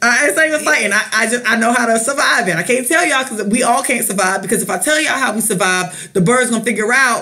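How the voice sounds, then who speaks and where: A woman with an American accent and fairly high pitch talks at a very fast pace in an animated tone with hardly any pauses, very even loudness and ordinary pitch variation, amid noticeable background noise and audible room echo. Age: 30s. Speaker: podcast co-host. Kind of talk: casual chat.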